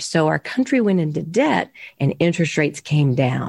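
A woman with a plain, everyday voice and an American accent, lively intonation, a moderate pace, and a quiet background. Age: 60s. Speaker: mortgage loan officer. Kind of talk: interview.

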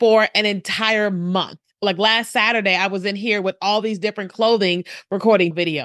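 A woman talks at a moderate pace in a plain, everyday voice with ordinary pitch variation, in a dry, close sound with no echo and a quiet background. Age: 40s. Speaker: video marketing strategist. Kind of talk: interview.

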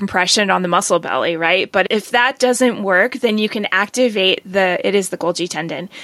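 A woman's medium-pitched voice is heard with noticeable background noise. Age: 50s. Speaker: acupuncturist and podcast host. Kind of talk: casual interview.

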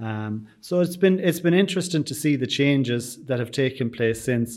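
Against a silent background in a very clean recording, a man with an Irish accent speaks at medium pitch and a moderate pace, with ordinary pitch variation. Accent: Irish (Sligo). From Ireland, County Sligo. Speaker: bakery and tea room owner. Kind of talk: interview.

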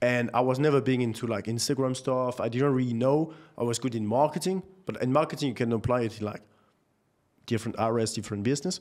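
A man with a French accent at a very fast pace. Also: medium pitch for a man, ordinary pitch variation. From France, Nantes. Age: 20s. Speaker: marketing entrepreneur. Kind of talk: casual chat.

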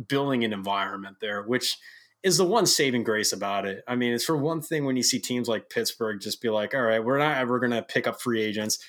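An unremarkable speaking voice from a man with an American accent, medium in pitch with ordinary pitch variation, on a very clean recording with a silent background. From Rochester, New York. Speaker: guest. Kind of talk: casual chat.

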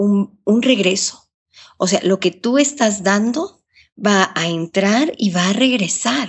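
A woman speaks very slowly at a medium pitch. Her voice is somewhat breathy, with lively intonation. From Ecuador. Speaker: journalist and radio broadcaster. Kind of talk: interview.

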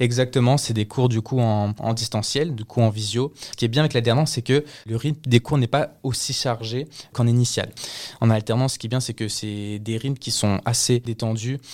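An ordinary speaking voice with fairly even intonation, at a moderate pace. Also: man, medium pitch for a man. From France (raised mainly in France since 2007, born in Colombia, lived in Canada). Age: 20s. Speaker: work-study student. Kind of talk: interview.

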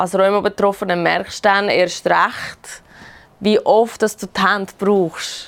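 A woman's medium-pitched voice with a Swiss accent, very slow and flat in a monotone. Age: 30s. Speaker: rheumatism patient. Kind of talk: casual chat.

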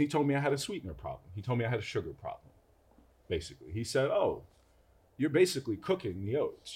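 A man with an American accent sounds somewhat breathy, his pitch swinging very widely. The recording is very clean with a silent background. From Brooklyn, New York. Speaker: food entrepreneur. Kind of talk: casual interview.

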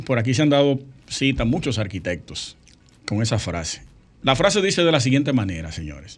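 A man speaks at a fairly quick pace and a medium pitch. His voice has vocal fry and very wide pitch swings. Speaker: architect and radio co-host. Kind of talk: casual radio talk show.

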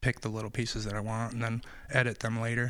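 A man at a very fast pace with monotone, flat intonation, in a very clean recording with a silent background. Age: 30s. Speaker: DJ and beat producer. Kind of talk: casual interview.

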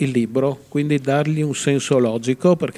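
A man with a normal speaking voice, medium pitch, fairly even intonation, and a fairly quick pace. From Friuli, Italy (Udine). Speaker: author. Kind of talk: interview.

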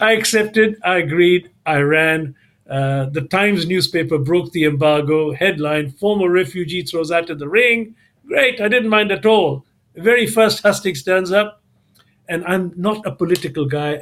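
This man has a high pitch and ordinary pitch variation. He talks at a moderate pace. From Kenya (Mombasa), then London. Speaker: businessman and author. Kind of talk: interview. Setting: remote call from home.

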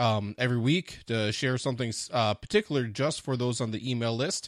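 A man with a medium pitch and a normal speaking voice at a moderate pace, against a quiet background. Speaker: podcast host. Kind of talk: podcast intro and interview framing.

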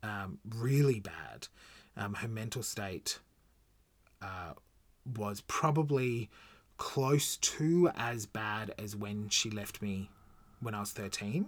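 On a very clean recording with a silent background, a man with an Australian accent and fairly low pitch speaks very slowly, with long, frequent pauses, ordinary pitch variation and big swings in loudness. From Australia, Gold Coast. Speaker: podcast host. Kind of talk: personal storytelling monologue. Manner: casual, halting with fillers.

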